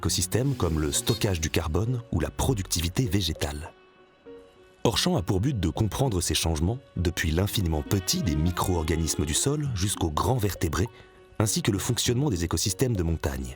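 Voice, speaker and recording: A man with a very deep, low pitch talks at a fairly quick pace with lively intonation while music plays in the background. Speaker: voice-over actor. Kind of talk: explainer narration for animated film. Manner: friendly, guide-like.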